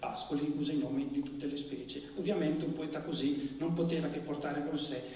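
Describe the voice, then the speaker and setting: Monotone, flat intonation is heard over light background noise with an audible room echo. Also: man. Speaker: literary critic introducing the event. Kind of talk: formal lecture-style introduction. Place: stage.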